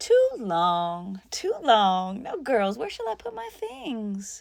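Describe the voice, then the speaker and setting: In a very clean recording with a silent background, a woman uses a put-on character voice, fairly high in pitch, at a very slow pace. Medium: read story. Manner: cheerful, bustling.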